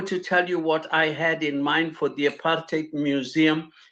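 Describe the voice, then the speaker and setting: A man's high-pitched voice, bright and sharp in tone, over a quiet background. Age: 70s. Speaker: panel guest. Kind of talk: panel discussion. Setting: video call. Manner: halting, repetitive.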